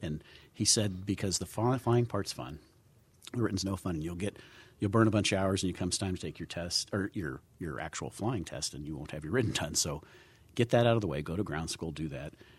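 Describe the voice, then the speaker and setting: A man with an American accent and a very deep, low pitch talks at a fairly quick pace with vocal fry and lively intonation, on a very clean recording with a silent background. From Southern California. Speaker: aviation organization chief executive. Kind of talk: casual chat. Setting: studio.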